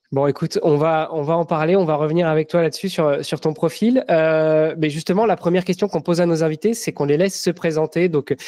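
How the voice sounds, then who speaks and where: The fairly high-pitched voice of a man has a dark, mellow tone and very even loudness. He speaks fairly quickly with fairly even intonation, in a dry, close sound with no echo. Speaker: podcast host. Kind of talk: casual interview chat.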